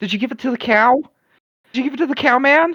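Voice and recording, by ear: A man's extremely high-pitched voice, bright and sharp in tone, fast-paced, with ordinary pitch variation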